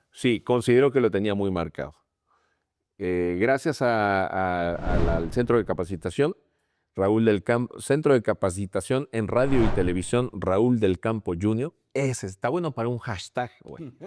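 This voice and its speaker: Fairly slow speech from a man with a fairly low pitch and lively intonation, in a dry, close sound with no echo. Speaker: sports commentator. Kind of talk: interview.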